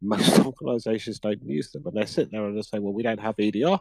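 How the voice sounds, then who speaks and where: In a British accent, a man of medium pitch speaks at a fairly quick pace with a dark, mellow tone and a dry, close sound with no echo. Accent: UK. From UK. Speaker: cybersecurity practitioner. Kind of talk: conference interview chat. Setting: conference couch interview.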